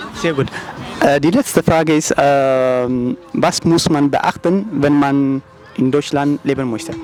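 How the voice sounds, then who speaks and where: A man with an Eritrean accent at a fairly high pitch and a very slow pace, with ordinary pitch variation and noticeable background noise. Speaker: YouTuber street interviewer. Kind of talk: street interview. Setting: outdoors on the street.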